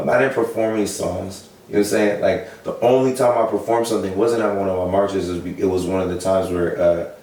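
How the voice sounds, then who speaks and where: With an American accent and a fairly low pitch, a man rattles along at a very fast pace with hardly any pauses, amid audible room echo and noticeable background noise. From US Pacific Northwest, Seattle. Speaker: protest leader. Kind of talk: interview. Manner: animated.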